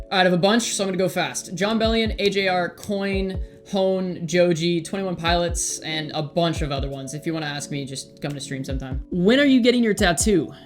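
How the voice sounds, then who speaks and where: With music in the background, a speaker with an American accent talks at a fairly quick pace, with hardly any pauses. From Southern California. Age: 20s. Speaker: streamer and content creator. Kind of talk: Q&A video, casual monologue.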